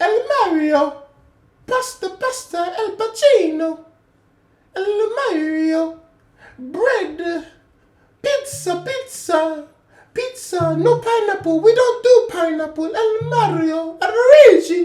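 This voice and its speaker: A woman's put-on character voice in an Italian accent, extremely high in pitch and very slow. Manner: comedic, exaggerated.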